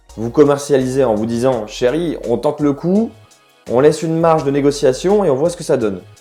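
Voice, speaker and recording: Music in the background behind a man with a fairly high pitch, ordinary pitch variation and a moderate pace. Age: 20s. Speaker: real estate agent. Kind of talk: tutorial.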